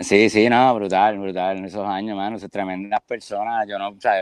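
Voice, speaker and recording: A man with monotone, flat intonation talks at a moderate pace in a fairly low pitch. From Puerto Rico, San Juan. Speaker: rock drummer. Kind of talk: interview. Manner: halting.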